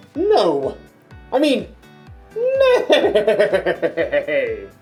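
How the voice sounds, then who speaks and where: In a put-on character voice pitched extremely high, the speaker talks over faint background music. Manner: silly, comedic.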